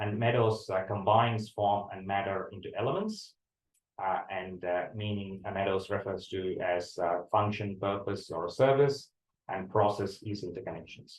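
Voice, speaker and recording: At a moderate pace, a man with a Tamil accent talks in a somewhat breathy, fairly low voice with fairly even intonation. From India, Tamil-speaking. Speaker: university lecturer. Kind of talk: lecture. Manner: hesitant, many fillers and repetitions.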